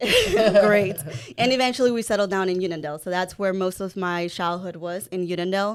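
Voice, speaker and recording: With a Spanish accent, a woman talks at a fairly quick pace and medium pitch with fairly even intonation. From El Salvador, then Long Island, New York. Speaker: mortgage broker, podcast co-host. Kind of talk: interview.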